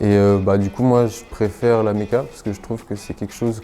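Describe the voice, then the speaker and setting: Music plays behind a man speaking at a moderate pace. His fairly low voice has monotone, flat intonation. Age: 20s. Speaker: apprentice maintenance technician. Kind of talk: interview. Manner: hesitant, many fillers.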